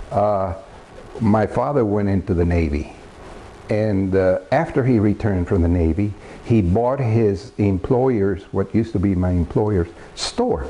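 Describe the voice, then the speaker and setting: Against noticeable background noise, a man with an American accent speaks at a fairly slow pace and fairly low pitch, with ordinary pitch variation and very even loudness. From Texas border town, Presidio. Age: 70s. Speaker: air force veteran. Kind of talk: oral history interview. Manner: halting, many fillers.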